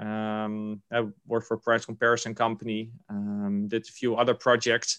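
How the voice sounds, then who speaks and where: A man with a Dutch accent talks at a moderate pace. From Netherlands, Rotterdam. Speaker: venture investor. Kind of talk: interview. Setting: video call. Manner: halting.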